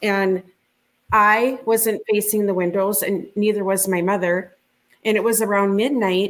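A woman with a Minnesotan accent speaks at medium pitch and a fairly slow pace, her intonation fairly even and her loudness very even. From rural Minnesota. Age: 50s. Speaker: UFO witness. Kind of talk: interview testimony.

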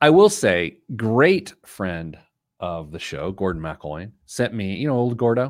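Very wide pitch swings at a fairly slow pace, on a very clean recording with a silent background. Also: man, medium pitch for a man. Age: 40s. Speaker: personal finance podcast host. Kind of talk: casual chat.

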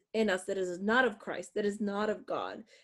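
A woman at a medium pitch and moderate pace, an ordinary speaking voice against a quiet background. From northwest Pennsylvania. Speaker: author and adjunct professor. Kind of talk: interview.

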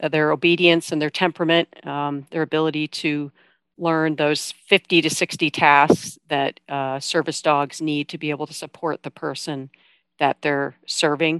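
A woman with an American accent speaks at a moderate pace in a very deep, low pitch, her intonation monotone and flat. Her loudness swings widely, and the sound is dry and close with no echo. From Iowa. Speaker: army veteran, service dog charity worker. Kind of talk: interview.

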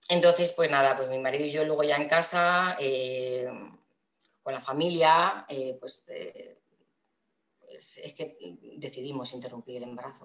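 A woman's very deep, low voice at a fairly slow pace, fairly even in intonation yet with big swings in loudness and long, frequent pauses. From Castilla-La Mancha, Spain (Toledo). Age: 30s. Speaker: mother sharing birth story. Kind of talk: personal testimony interview.

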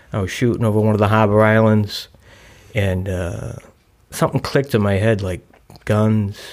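A man with a Boston accent and fairly low pitch keeps a moderate pace and fairly even intonation, leaving long, frequent pauses. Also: very clean recording, silent background. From South Boston, Massachusetts. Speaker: person in long-term recovery. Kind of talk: recovery testimony. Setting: studio at a recovery center.

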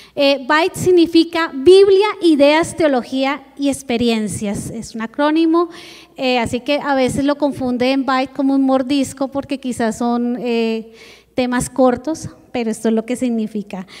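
Noticeable background noise sits behind a woman with a high pitch. She talks at a fairly slow pace with ordinary pitch variation. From Colombia, Bogotá. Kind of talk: church presentation.

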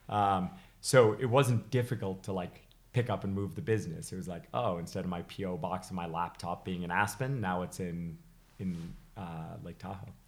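A man with a slight British accent speaks at a very deep, low pitch with ordinary pitch variation. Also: moderate pace. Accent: slight British trace in American speech. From England, then Massachusetts from age six. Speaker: high altitude climber and skier. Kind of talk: casual interview chat.

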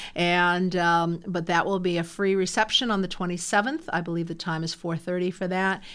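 A woman speaks at a moderate pace and fairly low pitch with a monotone, flat intonation and hardly any pauses. The recording is very clean, with a silent background. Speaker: university lecturer. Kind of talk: casual interview.

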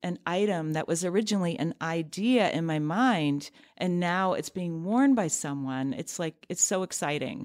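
In a very clean recording with a silent background, a woman with a plain, everyday voice talks at a fairly low pitch, with ordinary pitch variation and a moderate pace. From US Midwest (near Cleveland, Ohio) and North Carolina. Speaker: fashion designer and business founder. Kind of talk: interview conversation. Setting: studio.

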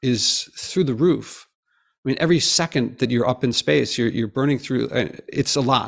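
At medium pitch with vocal fry, a man talks on a very clean recording with a silent background. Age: 50s. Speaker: professor and environmental podcaster. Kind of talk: interview.

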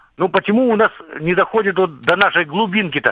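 At a moderate pace, a man is speaking. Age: 60s. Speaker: retired serviceman, war veteran calling a radio show. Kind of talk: radio call-in question. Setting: phone call.

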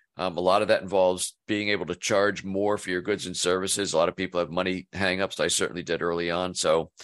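In a very deep, low voice, a man talks at a very fast pace. His intonation is monotone and flat, over a quiet background. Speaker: business coach. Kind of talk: casual interview chat.

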